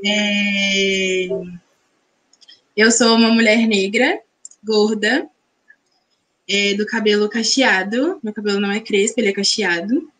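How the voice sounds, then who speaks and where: Speaking very slowly, a woman keeps her fairly high voice at a fairly even intonation. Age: 20s. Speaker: dance teacher and pedagogue. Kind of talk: self-introduction in live panel. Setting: video call from her bedroom.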